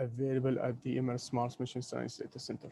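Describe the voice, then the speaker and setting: A soft-spoken man talks at a moderate pace with medium pitch and a dark, mellow tone. The sound is dry and close, with no echo. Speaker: space mission data scientist. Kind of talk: webinar presentation. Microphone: too quiet at first.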